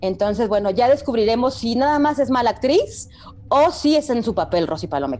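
Speaking at a fairly quick pace, a woman with a fairly high pitch swings very widely up and down, with noticeable background noise behind her. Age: 40s. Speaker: TV series review podcast co-host. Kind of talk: casual chat.

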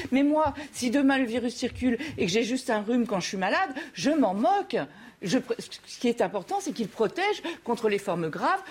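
Amid noticeable background noise, a woman talks at a fairly quick pace with very wide pitch swings and long, frequent pauses. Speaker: debate panelist. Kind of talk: debate.

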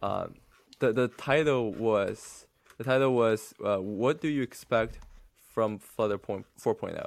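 A man speaks with a Chinese accent at a fairly slow pace and ordinary pitch variation. The recording is very clean, with a silent background. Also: medium pitch for a man. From mainland China. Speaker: podcast co-host, app developer. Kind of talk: casual podcast chat. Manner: halting, many fillers.

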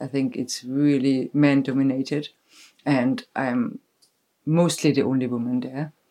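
This woman's pitch sits very deep and low, with ordinary variation. She talks at a fairly slow pace. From Germany. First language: German. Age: 40s. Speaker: festival decor maker and stage builder. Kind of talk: casual chat. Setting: sitting together on a bed at night.

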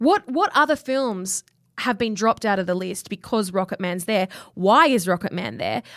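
In an Australian accent, the speaker keeps a moderate pace and lively intonation, with a dry, close sound and no echo. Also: woman, medium pitch for a woman. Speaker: podcast co-host. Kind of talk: casual chat.

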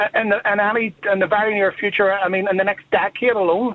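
A fairly quick delivery with a Northern Irish accent. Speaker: caller. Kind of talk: radio phone-in.

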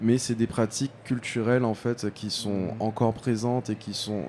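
A man talks at a fairly slow pace with a dark, mellow tone. His intonation stays fairly even. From Guadeloupe. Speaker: fashion designer and party founder. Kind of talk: interview. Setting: live studio at a trade fair.

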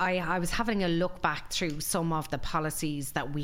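With audible room echo, a woman in a western Irish accent speaks at a moderate pace. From Ireland, Galway. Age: 40s. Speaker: employment lawyer. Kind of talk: interview.

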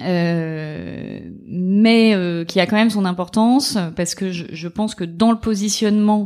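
Against a very clean recording with a silent background, a woman speaks at a fairly slow pace with ordinary pitch variation. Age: 30s. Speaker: lawyer. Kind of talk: interview. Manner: halting.

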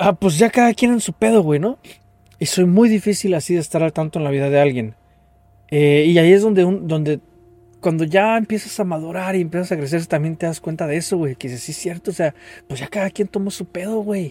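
A high-pitched man with a Mexican accent, at a fairly quick pace with ordinary pitch variation, amid noticeable background noise. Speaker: podcast host. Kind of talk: casual chat.

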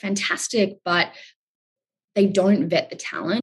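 This woman speaks at a medium pitch and a fairly slow pace. Her intonation stays fairly even. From Australia. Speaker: startup founder. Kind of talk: interview.

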